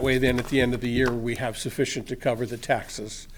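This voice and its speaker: A very fast-paced man's voice with audible room echo. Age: 60s. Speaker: resident speaking at public comment. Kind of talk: public comment at city council meeting. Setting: council chamber podium.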